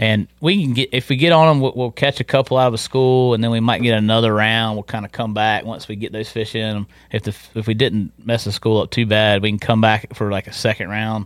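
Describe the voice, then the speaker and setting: A man at a medium pitch with an eastern North Carolina accent, fairly quick, with fairly even intonation and hardly any pauses. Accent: eastern North Carolina Southern. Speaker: fishing guide. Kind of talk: casual interview chat. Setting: studio.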